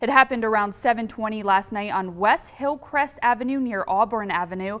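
A woman with a normal speaking voice and a fairly high pitch talks at a moderate pace with ordinary pitch variation, in a very clean recording with a silent background. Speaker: news anchor. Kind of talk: TV news read.

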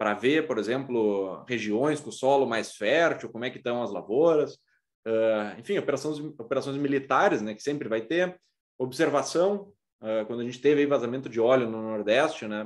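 The speaker has a southern Brazilian accent and ordinary pitch variation. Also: man, medium pitch for a man, moderate pace. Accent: southern Brazilian (gaúcho) Portuguese. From Rio Grande do Sul, Brazil. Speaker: aerospace engineering professor. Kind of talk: lecture. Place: home room. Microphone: webcam.

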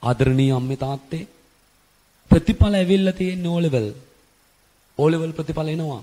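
This man speaks at a very slow pace with long, frequent pauses. His fairly high voice has a dark, mellow tone and ordinary pitch variation. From Sri Lanka. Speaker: A/L accounting tutor; accounting tutor. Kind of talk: motivational talk to parents; advice talk to parents. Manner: repetitive, earnest. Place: classroom. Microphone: handheld.

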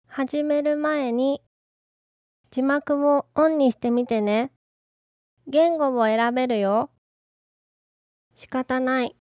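Very slow speech with long, frequent pauses and fairly even intonation, in a dry, close sound with no echo. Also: woman, high pitch for a woman. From Osaka. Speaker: language teacher. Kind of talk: language lesson phrase read. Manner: slow, clear.

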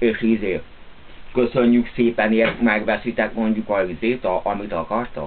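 Over light background noise, a man speaks at a fairly slow pace with long, frequent pauses. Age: 30s. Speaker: video blogger. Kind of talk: casual monologue to camera. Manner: animated. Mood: relaxed, grumbling. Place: home room. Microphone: webcam.

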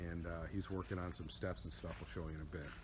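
A man talks at a fairly quick pace over noticeable background noise. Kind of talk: casual vlog chat. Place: garden. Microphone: phone near.

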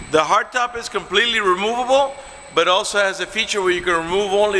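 A man's raised, projected voice at a fairly quick pace, with light background noise. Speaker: car salesman. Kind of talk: product walkaround commentary. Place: shop. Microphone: phone near.

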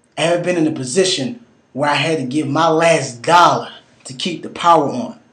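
His tone is intense and passionate, with a fairly high pitch for a man. He speaks at a fairly slow pace, with ordinary pitch variation. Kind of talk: spoken word poetry. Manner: intense, passionate and sermon-like; urgent, rhythmic, emphatic delivery with pointed rhetorical questions.

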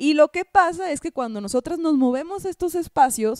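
A woman at a moderate pace, with lively intonation and an animated tone, in dry sound with no echo over a quiet background. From northern Mexico (Hermosillo, Sonora); northern Mexico. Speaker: comedian and podcast co-host; comedian podcast co-host. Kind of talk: casual chat. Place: home room. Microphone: handheld.

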